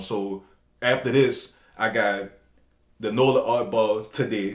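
A man with a New Orleans accent and fairly even intonation. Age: 30s. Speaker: fashion designer. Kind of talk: casual chat.

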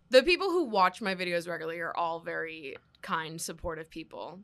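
This woman has an unremarkable speaking voice, fairly low in pitch, at a moderate pace. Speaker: content creator and podcaster. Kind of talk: casual chat.

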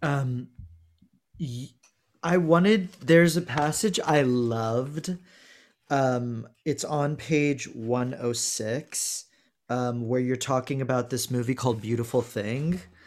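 In a very clean recording with a silent background, a man speaks very slowly at medium pitch with ordinary pitch variation. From Texas, Houston. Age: 30s. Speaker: podcast host and tarot reader. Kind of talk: casual chat. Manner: animated.

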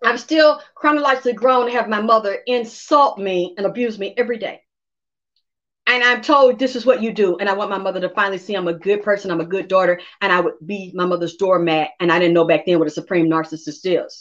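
At a very fast pace, a woman with a medium pitch speaks in an animated tone with lively intonation. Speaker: psychic medium. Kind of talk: casual chat. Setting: livestream.

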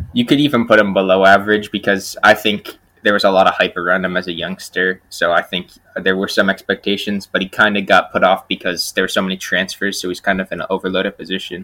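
Very fast and fairly even in intonation, a man speaks with a fairly low pitch. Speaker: podcast co-host. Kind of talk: casual chat.

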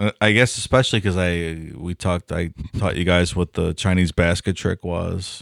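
Recorded very cleanly against a silent background with a dry, close sound and no echo, a man with an American accent speaks at a moderate pace in a very deep, low voice with fairly even intonation. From Cleveland, Ohio. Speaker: podcast co-host. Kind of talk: casual chat. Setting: studio.

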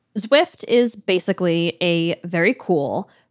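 A woman with an unremarkable speaking voice and a medium pitch uses lively intonation. The sound is dry and close with no echo, on a very clean recording with a silent background. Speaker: audio producer and co-host. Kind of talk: scripted narration.

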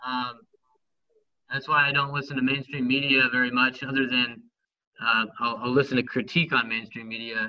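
A man with an American accent talks at a moderate pace and a medium pitch, with fairly even intonation. He leaves long, frequent pauses. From Northern California. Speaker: former MMA fighter and history teacher. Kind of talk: heated debate. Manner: articulate.

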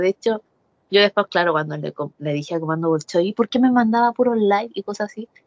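The sound is dry and close with no echo. A woman talks fairly quickly at a medium pitch with ordinary pitch variation. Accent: Chilean. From Chile. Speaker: professional wrestler. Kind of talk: interview. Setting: video call. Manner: animated.

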